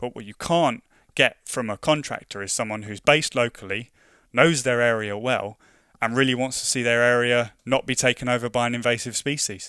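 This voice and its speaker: Bright and sharp in tone, a man talks at a fairly quick pace with fairly even intonation and big swings in loudness, in a very clean recording with a silent background and a dry, close sound with no echo. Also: medium pitch for a man. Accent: London. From London. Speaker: invasive species project officer. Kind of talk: interview. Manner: repeats words often, halting.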